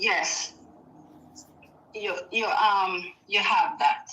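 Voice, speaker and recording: With noticeable background noise behind her, a woman speaks at a very slow pace, leaving long, frequent pauses. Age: 40s. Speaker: caller. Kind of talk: casual chat.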